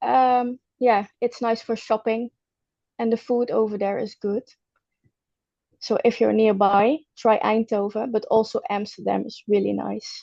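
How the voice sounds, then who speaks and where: A woman speaks at a fairly slow pace with long, frequent pauses. Her sound is dry and close with no echo. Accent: Dutch. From Netherlands. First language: Dutch. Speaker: personal trainer. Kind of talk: testimony interview. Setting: at home, video call. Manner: halting.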